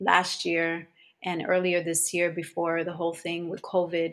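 Speaking with a New Jersey accent, a woman has a fairly low voice. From New Jersey, Elizabeth. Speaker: holistic practitioner. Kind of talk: interview.

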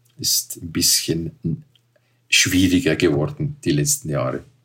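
A man with a very deep, low voice sounds somewhat breathy and swings his pitch very widely. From Switzerland. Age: 60s. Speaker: paragliding pilot and hotel owner. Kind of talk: interview. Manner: halting.

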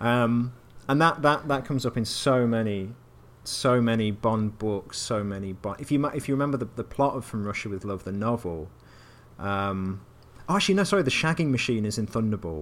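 Speaking with an English accent, a man talks. His pace is fairly quick. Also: medium pitch for a man, lively intonation. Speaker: podcast co-host, games writer. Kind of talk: casual chat.

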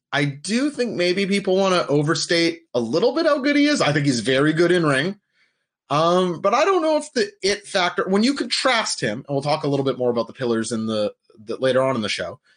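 Against a quiet background, a man with a high voice talks at a fairly quick pace with very wide pitch swings. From Portuguese family. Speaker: wrestling podcast co-host. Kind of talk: casual chat. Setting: live stream.

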